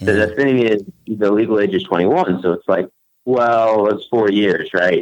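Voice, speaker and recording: This man's voice sits fairly low, with ordinary pitch variation and very even loudness. He talks at a moderate pace. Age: 20s. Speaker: caller. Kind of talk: casual chat. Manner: halting.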